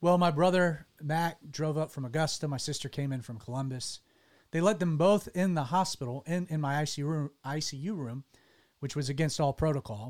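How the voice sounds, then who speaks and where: A man's fairly high voice in a Southern US accent, with ordinary pitch variation, a fairly quick pace, and a very clean recording against a silent background. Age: 30s. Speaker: pastor and radio show host. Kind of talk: casual chat. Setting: studio.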